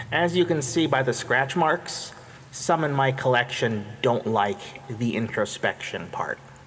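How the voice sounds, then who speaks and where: A put-on character voice from a man, nasal and medium-pitched, at a moderate pace over clear background noise. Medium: read story.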